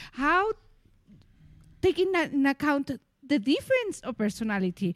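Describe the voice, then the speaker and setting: At a moderate pace and with very wide pitch swings, the speaker talks in a Mexican accent on a very clean recording with a silent background and a dry, close sound with no echo. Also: woman. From Mexico. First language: Spanish. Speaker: co-founder of personal development business, former English teacher. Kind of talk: casual conversational discussion.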